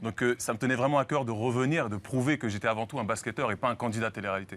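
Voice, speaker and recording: Captured on a very clean recording with a silent background, a man speaks very fast at a medium pitch with ordinary pitch variation. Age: 30s. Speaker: professional basketball player. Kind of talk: TV talk show interview. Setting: TV studio.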